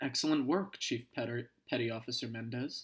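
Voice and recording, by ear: A man does a put-on character voice, resonant and medium in pitch, at a moderate pace.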